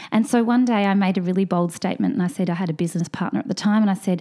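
In an Australian accent, a woman speaks at medium pitch with ordinary pitch variation. Her tone is dark and mellow. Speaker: fertility and hormone expert, Chinese medicine doctor. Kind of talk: casual interview.

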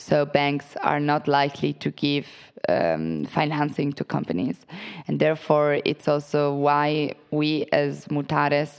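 A woman with an Italian accent and a very deep, low pitch. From Italy. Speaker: private equity associate. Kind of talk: interview. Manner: hesitant, many fillers.

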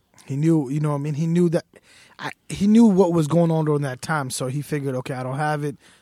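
A man with an American accent speaks very fast at a fairly high pitch, his tone dark and mellow with ordinary pitch variation, the sound dry and close with no echo. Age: 20s. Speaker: sneaker store owner. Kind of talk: casual chat. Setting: studio.

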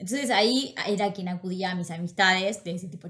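At a fairly quick pace, this somewhat breathy voice speaks with a Rioplatense accent and fairly even intonation. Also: woman. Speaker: podcast co-host. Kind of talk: casual chat.

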